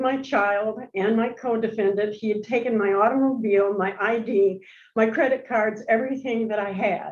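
Fairly even intonation at a moderate pace, with audible room echo. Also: woman. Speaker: prison inmate seeking parole. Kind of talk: parole hearing testimony. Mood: earnest, remorseful. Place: meeting room.

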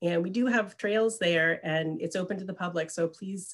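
Against a quiet background, a woman with an unremarkable speaking voice talks at a moderate pace. Her pitch is fairly low, with ordinary pitch variation. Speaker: presenter. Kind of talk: presentation. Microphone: webcam.

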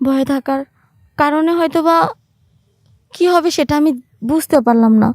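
A woman speaks at a high pitch with ordinary pitch variation, recorded dry and close with no echo. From Bangladesh, Manikganj. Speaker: storyteller. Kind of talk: personal storytelling.

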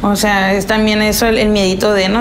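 A woman speaks in a monotone, flat intonation over noticeable background noise. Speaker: interviewee. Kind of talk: interview answer. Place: kitchen.

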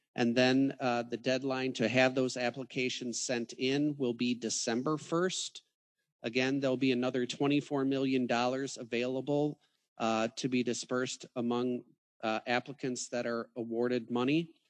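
The speech moves at a fairly slow pace with monotone, flat intonation against a quiet background. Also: man. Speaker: county official. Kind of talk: public meeting discussion. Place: hall.

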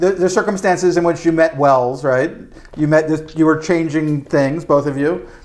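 There is noticeable background noise behind a man speaking at a moderate pace. His pitch is fairly high and his intonation fairly even. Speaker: interviewer. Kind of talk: interview questions.

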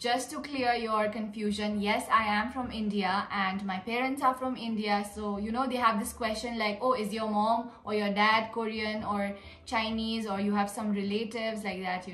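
With audible room echo behind her, a woman speaks at a moderate pace in a monotone, flat intonation, with hardly any pauses. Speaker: vlogger. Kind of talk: casual Q&A vlog chat. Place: home room. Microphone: phone near.

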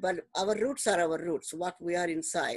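A woman at a medium pitch and moderate pace, with ordinary pitch variation, in a dry sound with no echo and a quiet background. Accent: Indian. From Delhi, India. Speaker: retired math teacher. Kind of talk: casual interview conversation. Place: home room. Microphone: video call.

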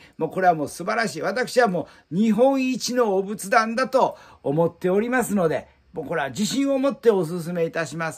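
Against a quiet background, a man with a high pitch talks at a moderate pace, his intonation lively and his loudness swinging widely. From Japan. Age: 60s. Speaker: Buddhist altar shop owner. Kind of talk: promotional video monologue. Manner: formal. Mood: warm, proud, reminiscing. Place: shop.

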